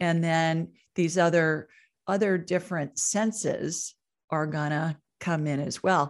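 A woman speaks with an American accent and a fairly low pitch, an ordinary speaking voice. Her intonation is fairly even, and the background is quiet. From Ohio, Columbus. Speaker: psychic and medical intuitive. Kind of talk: interview.

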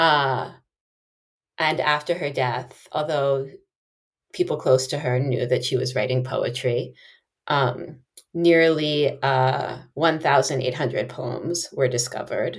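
The voice is somewhat breathy and moves at a very slow pace, with fairly even intonation and long, frequent pauses. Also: woman, very deep, low pitch for a woman. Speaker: English professor. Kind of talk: casual interview conversation.

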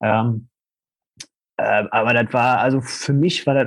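The man talks at a very slow pace. His intonation stays fairly even. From Ruhr area, Germany. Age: 30s. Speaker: coach. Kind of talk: interview. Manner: halting.

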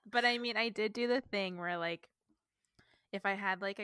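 A woman with a Canadian accent speaks at a medium pitch with ordinary pitch variation and a bright, sharp tone, in a dry, close recording with no echo that is very clean against a silent background. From Northern Ontario, Canada. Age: 30s. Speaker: book podcast co-host. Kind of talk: casual chat.

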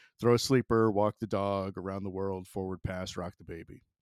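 A man with an American accent uses a plain, everyday voice, fairly low in pitch, at a moderate pace. The recording is very clean with a silent background and a dry, close sound with no echo. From US South, Florida (Jacksonville). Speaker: professional yo-yo player. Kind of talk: casual storytelling chat.

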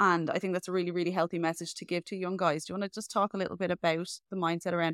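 In a very clean recording with a silent background and a dry, close sound with no echo, a woman speaks at a very fast pace. Her fairly low pitch holds a monotone, flat intonation. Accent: Irish. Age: 30s. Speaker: podcast host and health coach. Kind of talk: casual interview chat.

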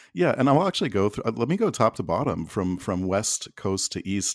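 This is an unremarkable speaking voice with a Canadian accent. It proceeds at a moderate pace against a quiet background. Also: man, dry, close sound with no echo. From Alberta, Canada. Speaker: podcast network director. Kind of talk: casual interview.

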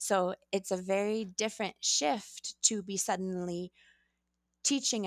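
A woman with a Pacific Northwest accent speaks at a medium pitch with ordinary pitch variation, in a dry, close sound with no echo on a very clean recording with a silent background. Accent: general American (Pacific Northwest). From Oregon, US Pacific Northwest (Astoria). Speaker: middle school Spanish teacher. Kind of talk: interview conversation.

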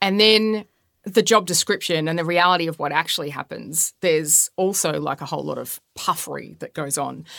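Her voice is fairly low with vocal fry and ordinary pitch variation, as this woman is heard in a dry, close sound with no echo. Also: fairly quick pace, very clean recording, silent background. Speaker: podcast host. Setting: studio.

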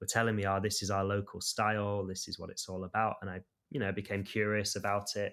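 A man talks at a fairly quick pace with fairly low pitch and an unremarkable speaking voice. The recording is very clean, with a silent background. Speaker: martial arts practitioner and video creator. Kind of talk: interview.

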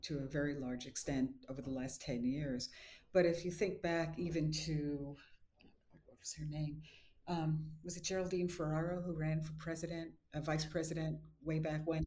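The speaker has an American accent and a dark, mellow, somewhat breathy tone. Intonation stays fairly even at a moderate pace, while loudness swings widely. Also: woman. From New York City, Brooklyn (Bensonhurst). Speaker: professor and author. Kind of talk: interview.

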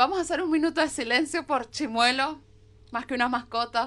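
In a raised, projected voice with a bright, sharp tone, a woman speaks at a high pitch with lively intonation over a quiet background. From Venezuela. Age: 20s. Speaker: podcast co-host. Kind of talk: casual chat.

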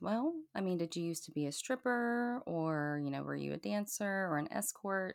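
Fairly low in pitch, a woman with an American accent has an unremarkable speaking voice. She talks at a moderate pace with lively intonation. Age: 40s. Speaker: cam model and content creator. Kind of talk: casual chat. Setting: remote recording with microphone.

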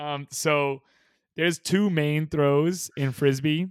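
A very clean recording with a silent background captures a man with an American accent, his intonation fairly even and the sound dry and close with no echo. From US West Coast, Bay Area. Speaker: professional ultimate frisbee player. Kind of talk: casual interview.

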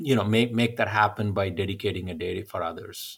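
A man's somewhat breathy, fairly low voice with an Indian accent, on a very clean recording with a silent background. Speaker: entrepreneur. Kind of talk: interview conversation.

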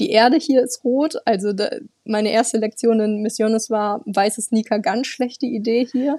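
Here is a woman with an ordinary speaking voice, fairly high in pitch with ordinary pitch variation, talking at a moderate pace in a dry, close sound with no echo. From northern Germany, near Bremen. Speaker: intern at an exchange organisation. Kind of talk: interview.

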